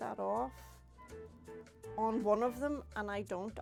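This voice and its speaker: Background music can be heard. Over it, a woman talks. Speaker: papercrafter. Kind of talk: craft tutorial talk to camera. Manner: casual, chatty.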